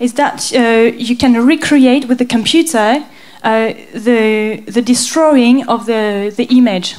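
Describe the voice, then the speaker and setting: A woman with a French accent talks fairly slowly in a fairly high voice, her intonation fairly even. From France. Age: 20s. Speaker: graphic designer and conceptual artist. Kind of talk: artist presentation. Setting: stage with audience. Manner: halting.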